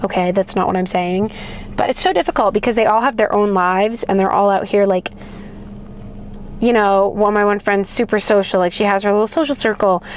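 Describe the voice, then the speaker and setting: Medium-pitched woman's voice against noticeable background noise. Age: 20s. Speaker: vlogger. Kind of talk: casual vlog monologue. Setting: in a car. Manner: animated.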